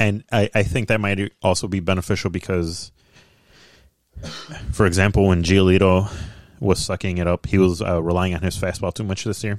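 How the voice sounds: A man speaks at a moderate pace with a low pitch and little pitch movement, in a dry, close sound with no echo.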